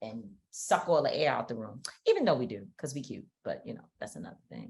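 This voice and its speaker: A woman at a fairly quick pace, with big swings in loudness. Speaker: podcast co-host and activist. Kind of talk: casual chat. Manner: loud, talkative.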